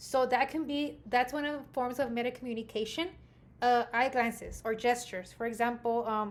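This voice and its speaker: Loud and high-pitched, a woman talks at a moderate pace with fairly even intonation. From Mexican American, US. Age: 30s. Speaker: graduate student. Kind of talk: class presentation. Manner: hesitant with fillers.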